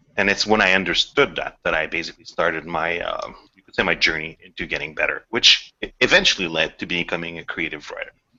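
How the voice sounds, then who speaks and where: This speaker has a non-native accent and talks at a fairly quick pace. The loudness swings widely. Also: man. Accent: noticeable non-native. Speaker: game writer. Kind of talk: podcast interview. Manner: halting, many repetitions.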